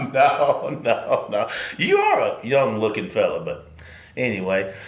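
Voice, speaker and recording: A man with a Southern US accent at a fairly slow pace, with audible room echo and noticeable background noise. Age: 60s. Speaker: sports radio co-host. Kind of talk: casual chat.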